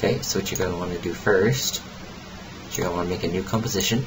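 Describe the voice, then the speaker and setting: A man with ordinary pitch variation, over noticeable background noise. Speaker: software tutorial youtuber. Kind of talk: tutorial. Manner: fast.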